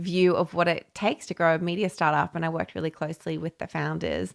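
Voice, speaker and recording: In an Australian accent, a woman with a fairly low voice talks at a moderate pace with monotone, flat intonation, in a very clean recording with a silent background and a dry, close sound with no echo. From Papua New Guinea and Brisbane, Australia. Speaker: podcast host and community founder. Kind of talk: solo podcast monologue. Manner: casual and chatty.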